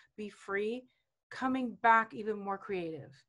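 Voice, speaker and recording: Pitched fairly high, a woman talks at a moderate pace in an ordinary speaking voice. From South American home. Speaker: business coach and guest. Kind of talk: casual interview chat.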